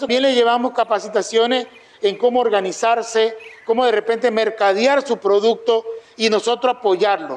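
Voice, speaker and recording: High-pitched man at a moderate pace. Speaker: regional culture ministry director. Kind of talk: informational talk to artisan group.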